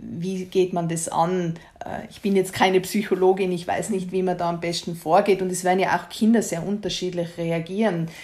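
A woman's dark, mellow voice at medium pitch, monotone and flat in intonation, with big swings in loudness, hardly any pauses and a moderate pace. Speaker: guest sharing grief experience. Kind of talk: casual conversation. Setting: at home in the kitchen.

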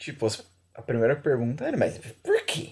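A man's dark, mellow tone at a moderate pace. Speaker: podcast co-host. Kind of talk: casual chat. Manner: animated.

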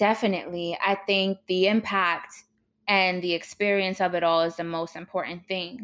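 Monotone, flat delivery from a woman with a medium pitch, an American accent, and a moderate pace. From New York City (Harlem). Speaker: media host. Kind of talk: interview. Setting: remote call.

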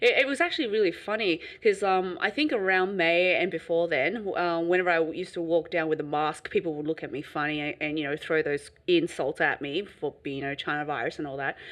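In a normal speaking voice, a woman talks at a fairly quick pace with hardly any pauses, her fairly low pitch showing ordinary pitch variation. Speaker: podcast host. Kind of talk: casual chat.

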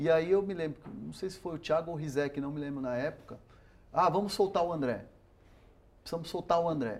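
Speaking at a fairly quick pace with long, frequent pauses, a man uses a fairly high pitch with ordinary variation and big swings in loudness. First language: Spanish (speaking Portuguese). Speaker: sports reporter. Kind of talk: interview. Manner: halting, many repetitions.

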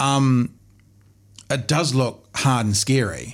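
Recorded very cleanly against a silent background, a man talks with a New Zealand accent. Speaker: podcast host. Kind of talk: casual interview. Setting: studio. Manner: jokey.

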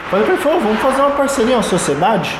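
Room echo can be clearly heard, along with a fair amount of background noise. The delivery is rather brisk. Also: man. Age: 30s. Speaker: entrepreneur. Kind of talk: interview.

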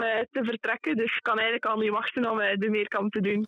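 Speaking at a fairly quick pace, a woman has an ordinary speaking voice. Her pitch sits fairly high. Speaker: junior athlete. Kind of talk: interview. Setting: phone call.

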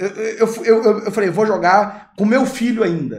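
An animated, high-pitched male voice with audible room echo. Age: 20s. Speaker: gaming YouTuber and podcast host. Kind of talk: casual chat.

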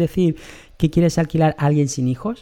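A man's dark, mellow tone sits at a fairly high pitch, with ordinary pitch variation. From Bolivia, Santa Cruz de la Sierra. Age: 20s. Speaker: podcaster. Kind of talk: personal storytelling monologue. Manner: halting, self-correcting.

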